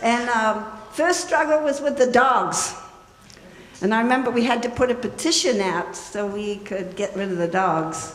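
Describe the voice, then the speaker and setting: A woman at a fairly high pitch with lively intonation and a moderate pace, in audible room echo with noticeable background noise. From New Zealand. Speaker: memorial speaker, old friend. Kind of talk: memorial tribute, personal reminiscence. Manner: animated, conversational.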